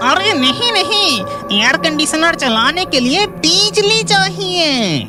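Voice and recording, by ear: Over loud background music, a cartoonish character voice drawls at a very slow pace.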